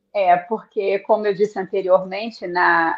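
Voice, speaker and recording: A woman with a normal speaking voice talks at a fairly slow pace and medium pitch. Her pitch variation is ordinary. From Rio de Janeiro, Brazil. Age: 60s. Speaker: author and tour guide. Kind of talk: interview on live book launch.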